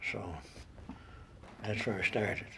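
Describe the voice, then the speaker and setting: A man speaks with a Newfoundland accent. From Newfoundland, Port Rexton. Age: 80s+. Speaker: retired railway worker. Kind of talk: interview testimony.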